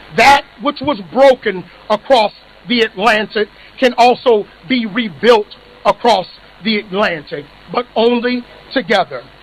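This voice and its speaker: Through noticeable background noise, a man with an American accent speaks at a fairly slow pace, high in pitch with ordinary pitch variation and long, frequent pauses. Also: dry, close sound with no echo. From United States. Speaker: executive director of an advocacy organisation. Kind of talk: ceremonial speech. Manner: formal.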